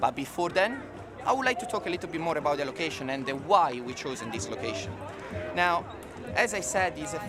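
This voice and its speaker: The speaker has an Italian accent and very wide pitch swings. There is noticeable background noise. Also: man. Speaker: corporate event presenter. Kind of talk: event presentation.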